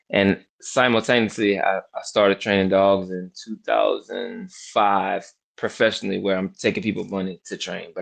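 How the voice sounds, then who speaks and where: This man's delivery comes at a moderate pace in an American accent. Nothing intrudes from the background, which stays quiet. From New Orleans, US South. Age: 40s. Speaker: professional dog trainer and army veteran. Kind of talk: podcast interview.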